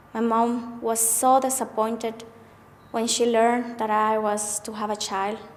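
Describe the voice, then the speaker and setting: A woman's fairly high voice at a very slow pace, with audible room echo. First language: not English. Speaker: abuse survivor sharing experience. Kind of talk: testimony. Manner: halting.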